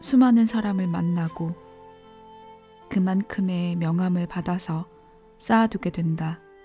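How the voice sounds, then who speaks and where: Soft-spoken, a woman talks at a very slow pace with a medium pitch and ordinary pitch variation. Music plays in the background. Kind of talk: bedtime audiobook reading. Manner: sleepy, soft.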